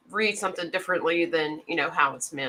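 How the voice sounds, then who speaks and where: A woman speaks with a slight Southern US accent, her bright, sharp tone carried by lively intonation. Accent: slight Southern twang. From Mississippi. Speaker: knife channel host. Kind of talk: casual chat. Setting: live stream.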